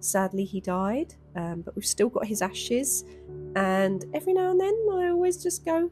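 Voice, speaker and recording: Someone with a London accent speaks at a moderate pace while music plays in the background. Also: woman. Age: 30s. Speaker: artist. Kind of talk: casual voiceover.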